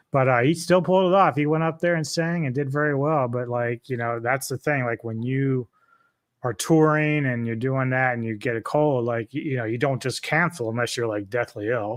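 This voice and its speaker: Over a quiet background, a man with a normal speaking voice talks at a moderate pace and medium pitch, with ordinary pitch variation. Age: 50s. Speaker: heavy metal enthusiast. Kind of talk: casual chat. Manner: casual, filler-heavy.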